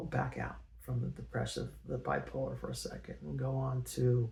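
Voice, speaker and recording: Speaking at a moderate pace with an American accent, a man is heard over noticeable background noise. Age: 60s. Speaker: personal storyteller. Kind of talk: personal testimony. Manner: halting, many fillers. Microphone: poor original audio, amplified in edit.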